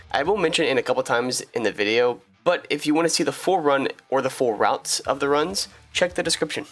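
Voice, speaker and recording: A man's fairly high voice at a very fast pace, very even in loudness, with ordinary pitch variation. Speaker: gamer, streamer. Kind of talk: video intro narration.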